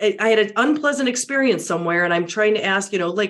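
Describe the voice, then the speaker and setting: Speaking at a fairly quick pace, the voice sounds animated, with very wide pitch swings. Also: woman. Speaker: media and public speaking trainer. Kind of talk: podcast interview.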